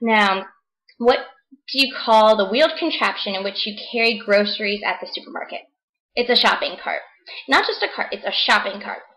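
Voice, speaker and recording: A woman in an American accent, fairly high in pitch, with a bright, sharp tone and ordinary pitch variation. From New Jersey, US. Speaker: vlogger. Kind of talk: casual vlog.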